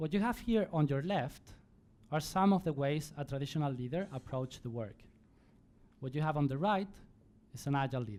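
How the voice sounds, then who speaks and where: A man talks in a Spanish accent with fairly high pitch and lively intonation. His pace is fairly quick, broken by long, frequent pauses. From Spain. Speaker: conference speaker. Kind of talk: conference talk. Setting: stage with audience.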